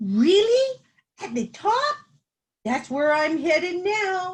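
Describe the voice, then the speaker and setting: In a put-on character voice, someone speaks very slowly in a squeaky, confident, cheerful tone with very wide pitch swings. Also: woman, extremely high pitch for a woman. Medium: read story.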